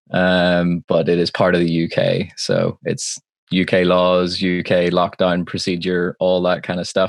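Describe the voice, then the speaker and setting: A man's very deep, low, monotone voice with a Northern Irish accent, at a fairly slow pace, in dry, close sound with no echo. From Northern Ireland, Belfast. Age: 20s. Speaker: live sound engineer. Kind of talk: casual chat. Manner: halting.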